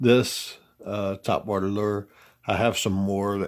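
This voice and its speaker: A man speaks with a strong Southern US accent at a fairly low pitch. The recording is very clean, and the background is silent. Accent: deep Southern. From US South. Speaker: fishing tackle reviewer. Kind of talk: product review. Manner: halting, many fillers.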